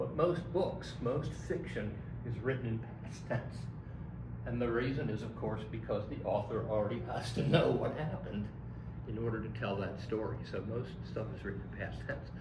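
Noticeable noise sits in the background as a man talks at a moderate speed. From US Northeast (Philadelphia). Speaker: college English instructor. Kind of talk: lecture. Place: classroom. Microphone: camera far.

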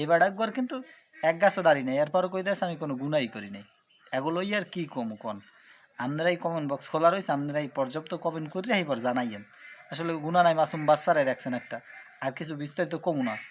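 A man with a plain, everyday voice speaks at a fairly high pitch. His intonation is lively and his loudness swings a lot. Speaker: Islamic YouTube commentator. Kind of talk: video commentary addressed to viewers.

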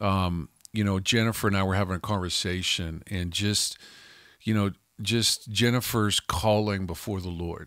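A man talks in an ordinary speaking voice at a moderate pace and fairly low pitch, with fairly even intonation, a dry sound with no echo and a quiet background. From Canada (Calgary, Alberta). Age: 50s. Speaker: pastor and podcast co-host. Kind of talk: casual chat. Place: studio. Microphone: studio mic.

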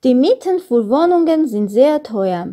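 On a very clean recording with a silent background, a woman with an Armenian accent speaks fairly slowly at a high pitch in a dark, mellow tone, her pitch swinging very widely. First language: Armenian (speaking German). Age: 20s. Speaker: German learner. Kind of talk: exam presentation.

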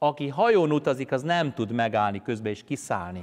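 A man at a fairly slow pace, his pitch swinging very widely, over a quiet background. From Hungary, Pest county; Hungary. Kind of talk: sermon. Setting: church. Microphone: lapel.

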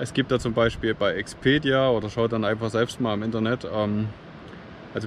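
A man at medium pitch and moderate pace, fairly even in intonation, with a dry sound with no echo and light background noise. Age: 30s. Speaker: travel vlogger. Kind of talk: vlog tutorial. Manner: halting with frequent fillers. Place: beach. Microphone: phone near.

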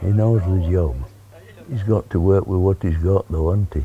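In a Yorkshire accent, a man talks at a fairly slow pace with a very deep, low pitch, a dark, mellow, somewhat breathy tone and ordinary pitch variation. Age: 80s+. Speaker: football kit man, former goalkeeper. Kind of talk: interview answer. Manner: casual, plain-spoken.

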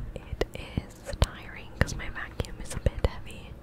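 A woman whispers in a relaxed tone at a very slow pace. Noticeable background noise runs underneath. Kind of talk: ASMR gaming let's play, whispered casual talk. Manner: whispered, soft, relaxed.

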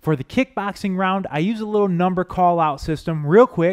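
Over a quiet background, a man is speaking. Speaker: fitness trainer. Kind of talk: workout instruction intro. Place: studio. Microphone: headset.

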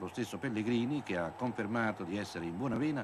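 This man has a medium pitch and lively intonation. His is a plain, everyday voice. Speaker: sports commentator. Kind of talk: 1980s TV football highlights commentary, voiced over match footage. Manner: fluent, polished journalistic delivery.

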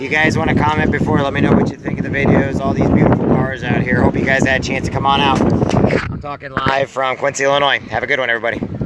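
Amid loud background noise, a man talks at a very fast pace in a dry sound with no echo. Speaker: family vlogger. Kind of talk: casual vlog chat. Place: street.

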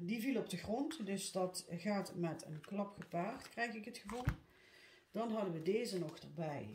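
A woman speaks at a fairly slow pace with ordinary pitch variation, with audible room echo and light background noise. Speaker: card reader. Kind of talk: tarot reading monologue. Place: home room. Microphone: phone near.

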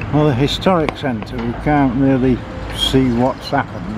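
Noticeable background noise behind a man's dry voice, free of any echo. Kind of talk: casual vlog commentary. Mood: wry, critical of council. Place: street. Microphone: phone near.

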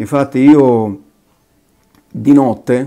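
Against a quiet background, a man speaks with a dark, mellow tone and fairly even intonation. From southern Italy. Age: 50s. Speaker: convert giving faith testimony. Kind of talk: testimony. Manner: halting. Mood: earnest, reflective. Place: kitchen.

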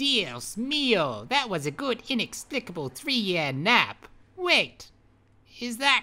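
A put-on character voice at a fairly high pitch, very slow, with very wide pitch swings. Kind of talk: comic overacting. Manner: excitable, scheming.

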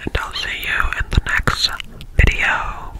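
Soft-spoken whispering unfolds at a very slow pace. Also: woman. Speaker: video creator. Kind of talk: casual vlog chat, ASMR eating video. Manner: soft whisper behind hand near mic. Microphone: studio mic.

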